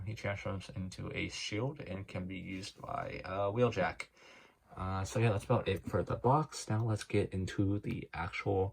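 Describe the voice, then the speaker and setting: A somewhat breathy male voice of fairly low pitch, with ordinary pitch variation and a moderate pace. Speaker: toy unboxing youtuber. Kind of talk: unboxing tutorial. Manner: unenthusiastic, low-energy; hesitant, many fillers.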